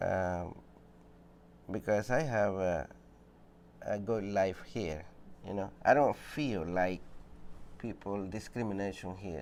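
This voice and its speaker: Very slow speech with long, frequent pauses, ordinary pitch variation and a Spanish accent. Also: man, fairly low pitch for a man. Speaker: shoe repair business owner. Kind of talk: interview testimony.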